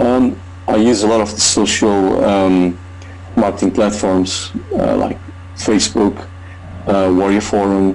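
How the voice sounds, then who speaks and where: A man talks at a fairly slow pace in a fairly low pitch. Noticeable background noise sits behind him. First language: not English. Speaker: online marketer. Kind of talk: testimony. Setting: video call. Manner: halting.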